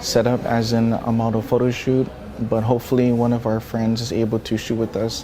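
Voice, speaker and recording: A man speaks at a moderate pace in a medium pitch, with noticeable background noise behind him. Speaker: photographer vlogger. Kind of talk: travel vlog. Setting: airport.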